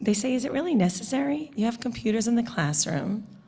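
A woman with a New York accent speaks at a moderate pace in a fairly high, somewhat breathy voice. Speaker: parent and teacher. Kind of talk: public comment.

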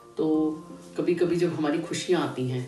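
A woman speaks in a very deep, low voice, with clear music playing behind her and audible echo in the room. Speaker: motivational speaker. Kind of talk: motivational talk. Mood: calm, earnest. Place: home room. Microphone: phone near.

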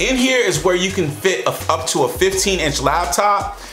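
Faint music plays in the background, and the room echo is audible. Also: man. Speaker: product reviewer. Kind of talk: product review talk to camera. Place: kitchen.

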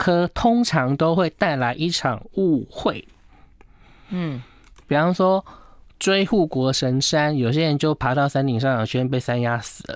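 Against a quiet background, a man with a Taiwanese accent speaks at a fairly high pitch. His pace is very slow. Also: dry sound with no echo. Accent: Taiwanese Mandarin. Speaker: feng shui consultant. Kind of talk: casual chat. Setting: studio. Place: studio.

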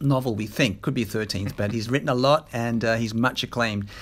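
A man with an Australian accent. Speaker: interviewer, former journalist. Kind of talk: interview. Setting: on location in Brisbane.

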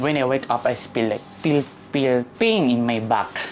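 A woman speaks at a fairly slow pace with a Filipino accent, her pitch very deep and low. Her pitch varies in an ordinary way, and music plays in the background. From Philippines, Manila. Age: 30s. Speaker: interviewee. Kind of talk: casual chat.

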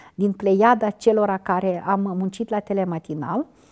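In a dark, mellow tone, a woman speaks at a fairly slow pace with ordinary pitch variation over a quiet background. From Moldova, Ialoveni district; Moldova. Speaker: veteran TV and radio journalist; interview guest, TV presenter. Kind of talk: interview. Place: studio. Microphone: lapel.

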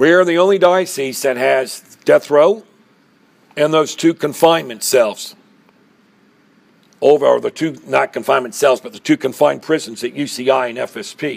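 Speaking at a moderate pace, a man uses ordinary pitch variation and takes long, frequent pauses. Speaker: deacon and prison minister. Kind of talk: talk to an audience about his ministry. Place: hall.

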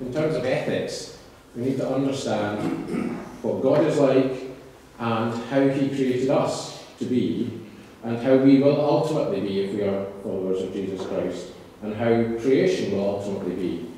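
A man at a moderate pace in strong room echo, with light background noise. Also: ordinary pitch variation. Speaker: guest lecturer. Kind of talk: lecture. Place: church.

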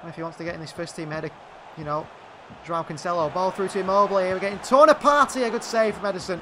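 An excited man's raised, projected voice, high in pitch, very fast, with lively intonation and big swings in loudness. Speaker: video game commentator. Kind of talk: live commentary over gameplay. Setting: gaming video channel voiceover. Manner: rapid-fire, clipped play-by-play; excited, reacting to goals.

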